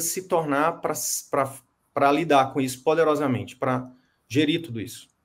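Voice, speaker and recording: A man talks at a moderate pace. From Brazil, interior of Piauí. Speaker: medical business coach. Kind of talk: coaching session. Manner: animated.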